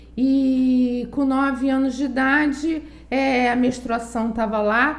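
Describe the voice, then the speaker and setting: Over noticeable background noise and audible room echo, a woman with a high voice speaks very slowly in a flat monotone at very even loudness. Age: 60s. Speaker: psychologist. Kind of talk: testimony.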